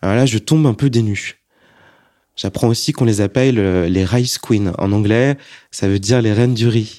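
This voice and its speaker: In a very clean recording with a silent background, a man with a dark, mellow tone speaks at a medium pitch and moderate pace, his loudness very even, his pitch varying ordinarily and long pauses coming often. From France, Annecy. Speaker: testimony speaker. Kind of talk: testimony.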